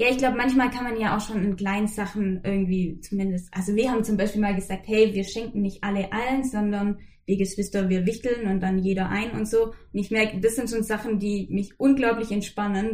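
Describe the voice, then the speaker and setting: At a moderate pace, a woman speaks at medium pitch with ordinary pitch variation and a somewhat breathy voice. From Swabian Jura, southern Germany. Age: 20s. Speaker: podcast guest. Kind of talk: casual interview.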